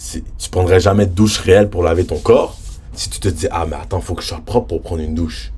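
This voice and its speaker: Against noticeable background noise, a man talks in an animated tone. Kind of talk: casual religious vlog talk.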